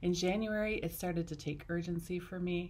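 A woman speaks at a moderate pace in a fairly low, somewhat breathy voice with fairly even intonation. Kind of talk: ceremony speech. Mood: warm, heartfelt. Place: classroom. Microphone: phone near.

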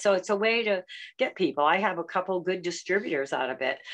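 With a fairly low pitch and moderate pace, a woman talks in an unremarkable speaking voice. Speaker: community member. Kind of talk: casual group video chat. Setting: video call.

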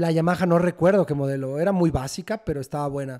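This man speaks very fast, in a central Mexican accent. His pitch is high, with ordinary variation. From Mexico City. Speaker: rock band guitarist. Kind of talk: casual interview.

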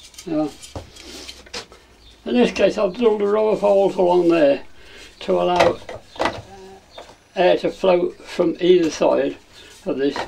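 A man with a high pitch speaks at a fairly slow pace, with ordinary pitch variation, long, frequent pauses, and light background noise. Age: 90s. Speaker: inventor. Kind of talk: tutorial. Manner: halting. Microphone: camera far.

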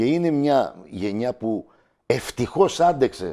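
Dark, mellow tone from a man, with a quiet background. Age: 50s. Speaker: local election candidate and teacher; election candidate, teacher. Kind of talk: TV interview. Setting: TV studio. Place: studio. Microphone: lapel.

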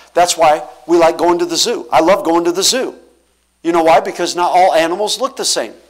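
Against a quiet background, a man talks at a fairly quick pace. His pitch is fairly high. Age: 40s. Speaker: pastor. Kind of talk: sermon. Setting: church. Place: church.

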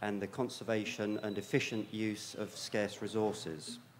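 The speech moves at a fairly slow pace. Audible room echo is present. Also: man. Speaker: plant science researcher. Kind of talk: conference lecture. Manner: hesitant, many fillers.

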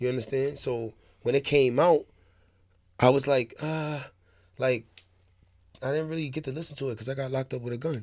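A man at a fairly quick pace, fairly even intonation, long and frequent pauses, quiet background. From New York City (Harlem, Bronx); New York. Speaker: rapper; podcast guest. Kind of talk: interview. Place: studio. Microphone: studio mic.

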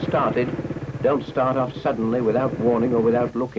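A man with a British accent at a medium pitch, with noticeable background noise. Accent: 1950s British received pronunciation-style. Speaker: film narrator. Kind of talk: 1950s public information film narration, scripted and formal. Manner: measured, crisp, earnest instructional tone, clipped mid-century delivery.

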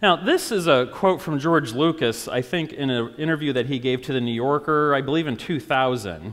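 A man with a normal speaking voice talks at a moderate pace with hardly any pauses. His pitch is fairly high, with ordinary variation. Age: 40s. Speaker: pastor. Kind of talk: sermon. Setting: church. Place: church.

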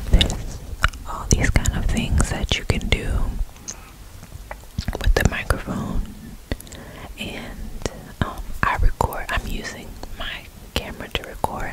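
A woman's voice at a moderate pace, dry with no echo, over loud background noise. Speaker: ASMR creator. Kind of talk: soft-spoken tutorial chat. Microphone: studio mic.

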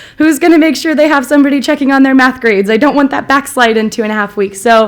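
Loud and very fast, a woman speaks at a high pitch with ordinary pitch variation over noticeable background noise. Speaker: school site coordinator. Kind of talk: award acceptance speech. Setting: school board meeting.

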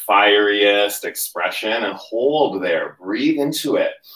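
A man speaks in a calm tone, with audible room echo over a quiet background. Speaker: yoga instructor. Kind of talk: livestream yoga class, guided cueing. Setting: home livestream. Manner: calm, steady, instructional cueing with breath-paced commands; casual, chatty, upbeat. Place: home room. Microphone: camera far.

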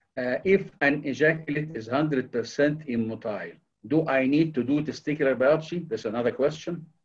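A man talks at a moderate pace in a fairly high voice. He sounds somewhat breathy, with ordinary pitch variation. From Egypt. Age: 60s. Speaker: conference moderator. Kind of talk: panel moderation. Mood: polite, formal, thankful. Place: home room. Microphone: video call.

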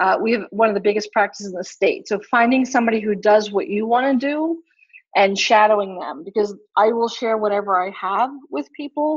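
A woman with an unremarkable speaking voice talks at a fairly high pitch and fairly quick pace, with ordinary pitch variation. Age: 40s. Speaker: chiropractor. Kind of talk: casual interview.

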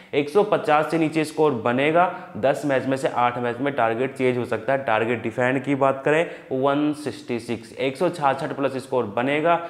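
Few pauses and a fairly even intonation. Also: man, medium pitch for a man, moderate pace.

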